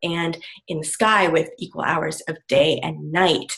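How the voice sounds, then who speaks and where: A woman speaks with a bright, sharp tone. Her pitch is fairly low. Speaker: astrology guest speaker. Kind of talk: presentation talk. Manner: soft-spoken; halting. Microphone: too quiet.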